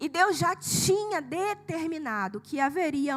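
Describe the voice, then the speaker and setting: Her high-pitched voice, animated in tone, swings very widely in pitch as the woman talks at a fairly slow pace. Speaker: preacher. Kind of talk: sermon. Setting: church with congregation.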